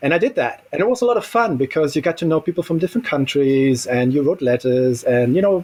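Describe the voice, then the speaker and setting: A man talks at a very fast pace with hardly any pauses and very even loudness. His fairly high pitch makes very wide swings. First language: German. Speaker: Tolkien scholar and society founder. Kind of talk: podcast interview.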